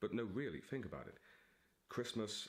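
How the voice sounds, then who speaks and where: Vocal fry runs through this man's voice. His pitch varies in an ordinary way. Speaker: author. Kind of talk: casual talk to camera. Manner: theatrical, dramatic.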